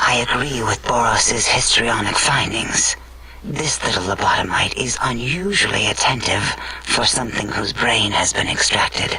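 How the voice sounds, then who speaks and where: A man does a put-on character voice at medium pitch. He keeps a moderate pace over clear background noise. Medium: machinima. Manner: calm, clinical.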